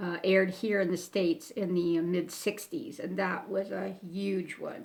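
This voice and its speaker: At a moderate pace, a woman with an American accent speaks at a medium pitch with ordinary pitch variation. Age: 60s. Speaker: YouTuber. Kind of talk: casual Q&A talk to camera. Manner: hesitant, with many fillers.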